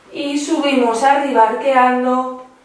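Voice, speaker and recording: A woman's voice carries strong room echo. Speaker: exercise instructor. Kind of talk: guided exercise instruction. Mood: calm, gentle pacing. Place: home room.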